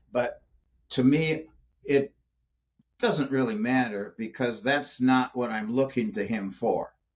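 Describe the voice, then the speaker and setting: Speaking at a very slow pace with long, frequent pauses, a man uses lively intonation at a medium pitch. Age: 70s. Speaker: business coach. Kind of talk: interview conversation.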